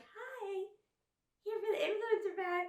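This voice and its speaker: A woman puts on a character voice that is squeaky and extremely high-pitched. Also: moderate pace. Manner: ditzy, dumbed down.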